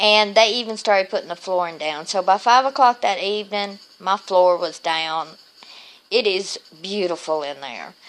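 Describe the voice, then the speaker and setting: Speaking at a moderate pace, a woman talks with a Southern US accent. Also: medium pitch for a woman, ordinary pitch variation. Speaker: vlogger with lupus. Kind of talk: casual video diary.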